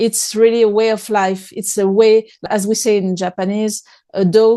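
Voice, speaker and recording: The voice has a French accent and a dark, mellow tone. Its intonation is monotone and flat over a quiet background. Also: woman, fairly high pitch for a woman, moderate pace, dry, close sound with no echo. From France. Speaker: author and speaker. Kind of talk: interview conversation. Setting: podcast. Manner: hesitant, with repetitions.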